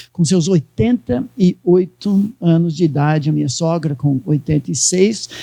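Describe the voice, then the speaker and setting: A fairly high-pitched man's voice with a dark, mellow tone, lively intonation, a fairly slow pace, hardly any pauses, and dry, close sound with no echo. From United States. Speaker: pastor. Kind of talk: sermon.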